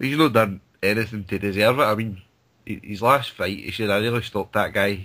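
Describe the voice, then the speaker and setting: Talking at a fairly quick pace with a strong Scottish accent, a man has a fairly low pitch, a bright, sharp tone and ordinary pitch variation. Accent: thick Scottish. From Scotland. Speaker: boxing pundit. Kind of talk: casual chat. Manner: halting.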